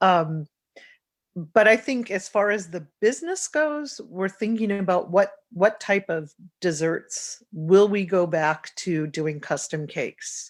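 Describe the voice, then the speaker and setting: A woman at a medium pitch speaks at a very slow pace with lively intonation. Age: 60s. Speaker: bakery owner. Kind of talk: podcast interview.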